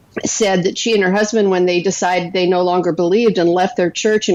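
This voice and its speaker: This woman talks very fast. She has an American accent. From North Dakota, US. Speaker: author and blogger. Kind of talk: interview.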